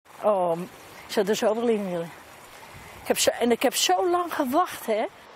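Over light background noise, a woman speaks at a moderate pace and a fairly high pitch, her pitch swinging very widely and the sound dry with no echo. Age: 80s+. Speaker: elderly pool visitor. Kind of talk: interview answer. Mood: disappointed, mildly indignant.

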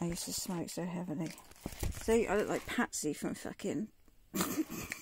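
A woman's somewhat breathy voice sounds dry with no echo, over noticeable background noise. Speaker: vlogger sorting old belongings. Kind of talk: casual vlog chat. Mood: amused, laughing at herself. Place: home room. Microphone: phone near.

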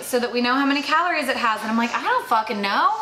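A woman speaks at a high pitch. Audible room echo and light background noise surround her voice. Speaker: beer channel co-host. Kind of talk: casual beer tasting chat. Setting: on location at a brewery. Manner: animated. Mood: relaxed, joking. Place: bar.

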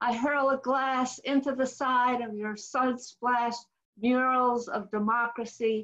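The pace is very slow. Nothing stirs in the quiet background. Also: woman. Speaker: poet. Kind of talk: poetry reading. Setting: video call. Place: home room. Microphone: webcam.

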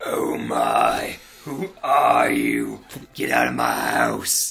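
In a put-on character voice, a man speaks very slowly with a raspy sound. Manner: yelling, alarmed.

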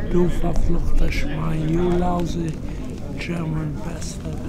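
Loud background noise around a male speaker. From Poland. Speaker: Holocaust survivor. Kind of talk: interview answer. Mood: intense, emotional recollection. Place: hall. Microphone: phone near.

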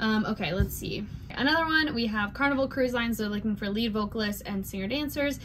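A woman's fairly high voice at a fairly quick pace, ordinary pitch variation, over clear background noise

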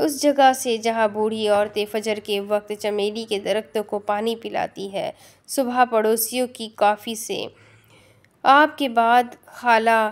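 A normal speaking voice, its intonation fairly even. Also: woman, fairly high pitch for a woman. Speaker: audiobook narrator, novel reader on a YouTube channel. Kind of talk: audiobook-style reading of a novel, with a poem passage.

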